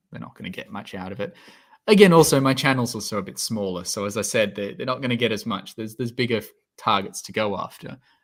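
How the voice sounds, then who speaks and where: With an Australian accent, a man at medium pitch races along at a very fast pace, with ordinary pitch variation and big swings in loudness. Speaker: science YouTuber, PhD student. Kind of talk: livestream Q&A chat. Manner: hesitant, many fillers.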